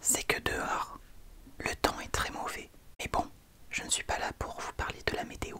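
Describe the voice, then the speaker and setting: A man is whispering at a fairly slow pace with long, frequent pauses. Noticeable background noise runs under the recording. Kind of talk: casual talk to camera, comedic ASMR parody. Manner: friendly, chatty, upbeat.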